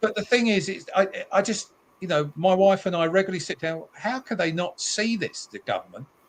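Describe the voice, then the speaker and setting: With a British accent, a man speaks at a high pitch. His pace is fairly quick and his pitch varies in an ordinary way. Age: 70s. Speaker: motorists' campaigner. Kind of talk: talk show discussion. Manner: animated.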